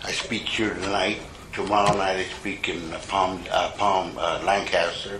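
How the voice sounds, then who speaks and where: Speaking fairly slowly in a fairly low, monotone voice, a man is heard with audible room echo and noticeable background noise. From US Southwest, Mexican-American barrio. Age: 70s. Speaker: recovery meeting speaker. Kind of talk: testimony. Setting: stage with audience. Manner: casual, profane storytelling.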